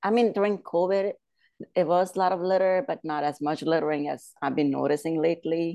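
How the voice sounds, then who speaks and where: Speaking at a moderate pace, a woman has a warm tone and a very deep, low pitch. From India; Bombay, India, then Pennsylvania. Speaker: painter. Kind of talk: casual interview chat. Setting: video call. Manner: laughs often, warm.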